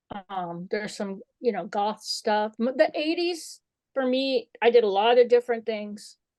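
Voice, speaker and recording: Captured in a dry, close sound with no echo, a woman uses an ordinary speaking voice in an American accent, fairly high in pitch, with lively intonation and a fairly slow pace. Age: 60s. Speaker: photographer and author. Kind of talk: interview.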